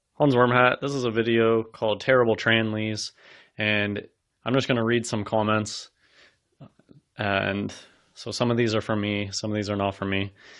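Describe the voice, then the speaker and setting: Against a quiet background, a man with a fairly low pitch talks at a moderate pace in a flat monotone, with long, frequent pauses. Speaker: video commentator. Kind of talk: casual monologue.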